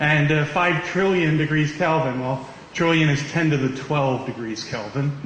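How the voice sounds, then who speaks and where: A man at fairly high pitch with ordinary pitch variation and a moderate pace, amid audible room echo and noticeable background noise. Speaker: physics professor. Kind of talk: lecture. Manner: loud.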